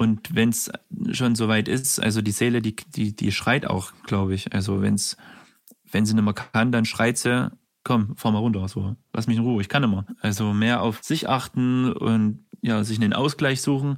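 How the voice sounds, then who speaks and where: This man has an unremarkable speaking voice at a medium pitch, with fairly even intonation. He talks at a moderate pace and keeps his loudness very even. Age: 30s. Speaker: care worker. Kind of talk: testimony.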